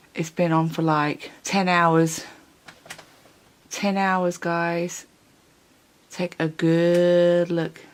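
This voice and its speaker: Quiet and very slow, a woman speaks with a fairly low pitch and monotone, flat intonation, leaving long, frequent pauses. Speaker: beauty vlogger. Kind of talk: makeup review vlog. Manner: casual, hesitant with fillers; speaking quietly late at night.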